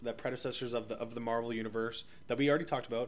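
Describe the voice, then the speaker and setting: The speaker is a man. He talks with a Canadian accent. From Ottawa, Canada. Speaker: podcast co-host. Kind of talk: casual chat. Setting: living room. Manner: fast.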